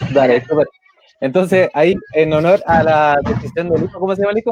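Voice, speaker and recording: Recorded with a dry, close sound and no echo, a man speaks at a fairly high pitch with ordinary pitch variation. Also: fairly quick pace. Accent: Chilean. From Chile. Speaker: trade union leader and livestream host. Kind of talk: live video interview.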